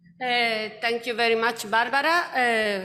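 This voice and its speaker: Amid audible room echo, a woman speaks with a fairly high pitch and monotone, flat intonation. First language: Italian. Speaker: researcher. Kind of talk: conference presentation. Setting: conference. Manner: halting.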